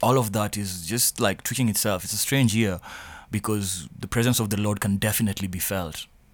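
A man with a fairly low pitch talks at a fairly quick pace on a very clean recording with a silent background. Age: 20s. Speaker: podcast co-host. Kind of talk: casual chat. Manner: animated.

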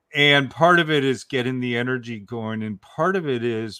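Speaking at a fairly slow pace, a man uses a normal speaking voice with ordinary pitch variation. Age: 60s. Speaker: author and story coach. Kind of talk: casual chat.

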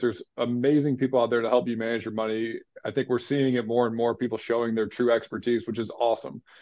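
A man's medium-pitched voice races along at a very fast pace. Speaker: financial planner and former pro baseball player. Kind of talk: casual chat.

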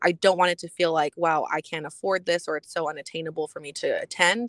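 Heard in a very clean recording with a silent background and a dry, close sound with no echo, a woman with an American accent speaks at a fairly quick pace and fairly low pitch in a plain, everyday voice. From Texas, San Antonio. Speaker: life coach. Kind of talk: interview.

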